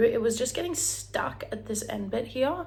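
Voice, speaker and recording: A woman speaks here. Her voice echoes audibly off the room. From Australia, Brisbane. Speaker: vlogger. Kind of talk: casual chat. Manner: animated.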